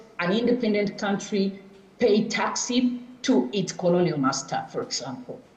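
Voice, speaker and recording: Over noticeable background noise and audible room echo, a woman speaks at a moderate pace with ordinary pitch variation. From Tanzania. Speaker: professor. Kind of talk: lecture. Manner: halting.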